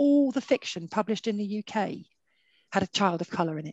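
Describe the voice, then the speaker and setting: Lively intonation marks a woman's speech. The sound is dry with no echo, and the background is quiet. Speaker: director of religious resource centre; webinar speaker. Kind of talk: webinar moderation. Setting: video call. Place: home room. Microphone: headset.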